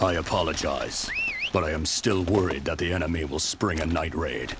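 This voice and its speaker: A man's put-on character voice, very deep and low, at a moderate pace over clear background noise. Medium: machinima. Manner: formal, deferential.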